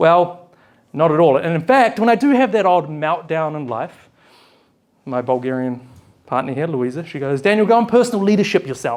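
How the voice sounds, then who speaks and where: Lively intonation from a man with a fairly high pitch and a New Zealand accent. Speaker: event host, personal leadership facilitator. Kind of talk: live event hosting speech. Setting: stage with live audience. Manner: animated.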